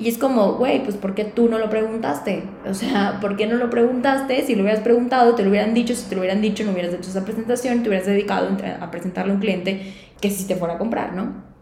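A woman speaks at a very fast pace in a fairly high voice. Noticeable background noise and audible room echo fill the recording. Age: 30s. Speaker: sales and LinkedIn consultant, podcast host. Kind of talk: solo podcast monologue. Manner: energetic.

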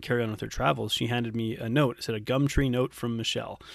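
With a Canadian accent, a man talks at a very fast pace at a medium pitch. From Canada. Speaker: nutrition coach. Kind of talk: casual interview chat.

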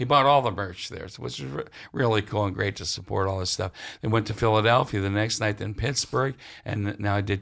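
An unremarkable speaking voice, this man's is fairly low for a man, with ordinary pitch variation and a fairly quick pace. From western Pennsylvania, near Ohio border. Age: 60s. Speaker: musician and author. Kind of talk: interview. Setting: public library.

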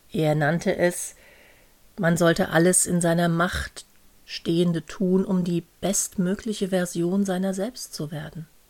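Very slow and flat, a woman speaks in a monotone at a fairly low pitch. The recording is very clean, with a silent background. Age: 50s. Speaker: podcast host and coach. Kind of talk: solo podcast monologue.

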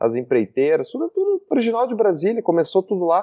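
A man speaks at a fairly quick clip, his pitch swinging very widely. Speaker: podcast host. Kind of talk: casual chat.

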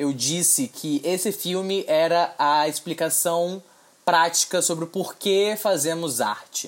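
This is a man talking. His pitch is high. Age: 20s. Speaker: podcast host. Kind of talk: solo commentary podcast. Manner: casual, filler-heavy.

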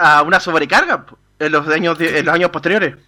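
A man speaks at a fairly quick pace and a high pitch. His tone is bright and sharp. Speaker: radio newsreader and co-host. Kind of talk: casual radio chat. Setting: radio studio.

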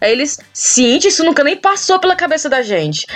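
Against noticeable background noise, a woman speaks at a moderate pace with lively intonation and an animated tone. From Ceará, Brazil. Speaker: podcaster living abroad. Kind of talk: casual chat. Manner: loud.

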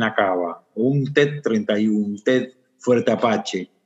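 A man speaks in a somewhat breathy voice. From Argentina, Buenos Aires area. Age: 30s. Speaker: social entrepreneur. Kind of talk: interview testimony.

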